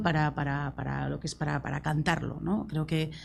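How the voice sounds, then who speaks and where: A woman speaks with a Basque accent. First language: Basque (speaking Spanish). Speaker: singer-songwriter. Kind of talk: panel discussion. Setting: university talk with audience.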